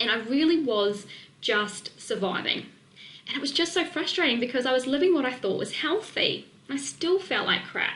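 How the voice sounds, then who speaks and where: Against noticeable background noise, a woman with a slight New Zealand accent talks in an animated tone at a moderate pace, her high voice making very wide pitch swings. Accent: slight New Zealand twang. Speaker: nutrition and weight-loss coach. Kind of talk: webinar presentation.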